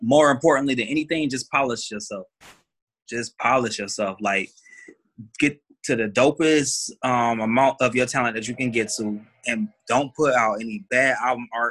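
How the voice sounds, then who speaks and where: A man speaks at a medium pitch with ordinary pitch variation and a moderate pace. The recording is very clean, with a silent background. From Detroit, US Midwest. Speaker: rapper and R&B singer. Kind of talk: casual chat.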